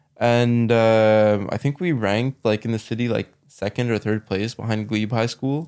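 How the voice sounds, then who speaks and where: A man with a Canadian accent speaks in a normal speaking voice at medium pitch and a moderate pace, with hardly any pauses. His intonation is fairly even, on a very clean recording with a silent background. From Canada, Ottawa. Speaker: lawyer. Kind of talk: casual chat.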